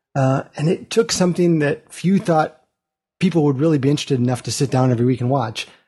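The voice is dark and mellow, somewhat breathy, with very even loudness, ordinary pitch variation and a very fast pace. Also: man, fairly high pitch for a man. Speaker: podcast panelist. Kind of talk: casual panel chat. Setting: remote audio call.

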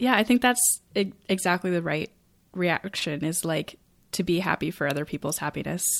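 Using a plain, everyday voice, a woman with an American accent speaks at a moderate pace with a fairly low pitch and lively intonation. The recording is very clean and the background silent. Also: dry, close sound with no echo. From rural Maine, US. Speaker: podcast host. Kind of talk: casual chat.

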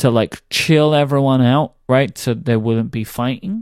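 Speaking with a British accent, a man uses a medium pitch at a fairly slow pace on a very clean recording with a silent background. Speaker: podcast co-host. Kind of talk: casual chat.

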